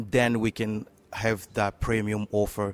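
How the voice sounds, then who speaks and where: This man speaks with a French accent at a fairly low pitch. His intonation is monotone and flat. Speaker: tech startup co-founder. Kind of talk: interview. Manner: halting, many fillers.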